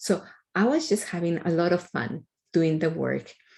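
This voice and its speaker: Moderate pace and ordinary pitch variation from a woman with a non-native accent and a fairly low pitch. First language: not English. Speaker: computer science researcher. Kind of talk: interview answer.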